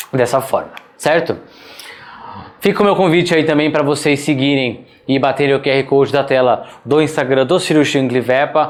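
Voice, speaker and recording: Here is a man with an unremarkable speaking voice. His intonation is fairly even. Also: fairly high pitch for a man, moderate pace, very even loudness. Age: 30s. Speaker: veterinary surgery instructor. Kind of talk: online lecture. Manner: casual, conversational.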